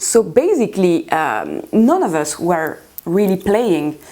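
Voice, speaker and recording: Over noticeable background noise, a woman speaks at a medium pitch with a French accent. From France. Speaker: guitarist. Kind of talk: interview. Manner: halting, many fillers.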